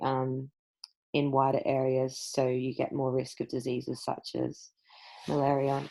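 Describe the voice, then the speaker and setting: This woman has an Australian accent. Her voice is very deep and low, with a dark, mellow tone. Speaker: school science teacher. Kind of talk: recorded lesson.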